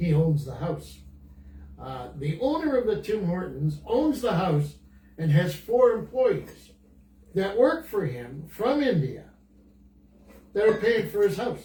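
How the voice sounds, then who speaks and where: A man with high pitch, a dark, mellow tone and very wide pitch swings, at a fairly slow pace with long, frequent pauses, in audible room echo. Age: 80s+. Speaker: senior guest on podcast. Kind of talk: casual chat. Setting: Facebook Live video call. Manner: animated; halting.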